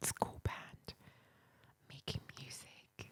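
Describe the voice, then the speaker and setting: Whispering at a very slow pace, the voice comes through noticeable background noise. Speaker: ASMR creator. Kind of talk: ASMR book reading. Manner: whispered.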